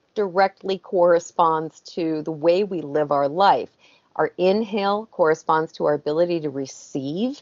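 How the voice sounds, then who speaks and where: At a moderate pace, a woman with a fairly low-pitched voice speaks with ordinary pitch variation over a quiet background. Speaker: guest. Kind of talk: interview answer. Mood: calm, explanatory. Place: home room. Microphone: video call.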